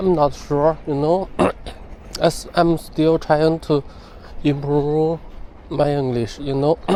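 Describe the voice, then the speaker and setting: A man with a Chinese accent speaks very slowly at a fairly high pitch, in a dark, mellow tone with monotone, flat intonation and long, frequent pauses. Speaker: English learner vlogger. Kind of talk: spoken weekly journal. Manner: halting, with fillers and self-corrections.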